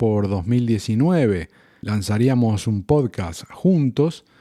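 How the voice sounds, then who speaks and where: The tone is dark and mellow, with lively intonation and a very slow pace on a very clean recording with a silent background. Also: man. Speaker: podcaster. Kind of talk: personal reflective podcast monologue.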